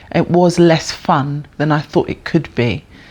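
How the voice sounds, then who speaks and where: This woman speaks in a London accent. Her pitch is very deep and low, with ordinary pitch variation. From North London, England. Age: 50s. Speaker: bass player and music educator. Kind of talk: interview. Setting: jazz centre venue. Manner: hesitant, many fillers.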